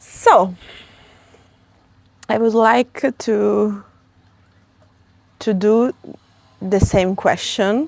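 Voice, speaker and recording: In a dry, close sound with no echo, a woman with an Italian accent speaks at a very slow pace, with long, frequent pauses and ordinary pitch variation. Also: medium pitch for a woman. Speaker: interviewer. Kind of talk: interview conversation.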